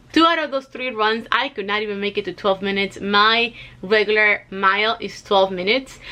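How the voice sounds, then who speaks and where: A woman with a Spanish accent speaks at a fairly quick pace in a fairly high voice, her tone bright and sharp and her pitch varying in an ordinary way. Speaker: weight loss vlogger. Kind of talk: casual vlog. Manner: conversational with fillers.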